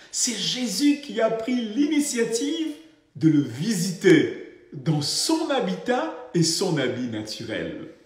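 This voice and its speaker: Through audible room echo and noticeable background noise, a man with a high pitch speaks very slowly with very wide pitch swings. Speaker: pastor. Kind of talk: sermon.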